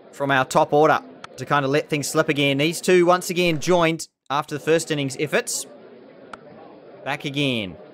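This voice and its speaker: The man's rather high voice moves along fairly quickly, its pitch varying in an ordinary way. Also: long, frequent pauses. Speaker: gaming YouTuber. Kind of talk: gameplay commentary. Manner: animated.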